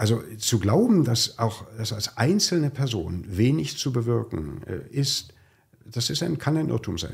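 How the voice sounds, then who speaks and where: A man speaks fairly slowly at medium pitch with vocal fry. His pitch swings very widely. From East Germany. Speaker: executive of a social-welfare organisation. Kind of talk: conversational podcast. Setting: studio.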